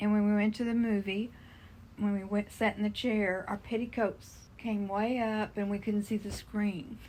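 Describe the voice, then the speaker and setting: A woman's medium-pitched, somewhat breathy voice with flat, monotone intonation. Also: moderate pace. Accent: Texan. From Texas, Dallas-Fort Worth area. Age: 70s. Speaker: interviewee grandmother. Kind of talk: interview reminiscence. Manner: casual, conversational.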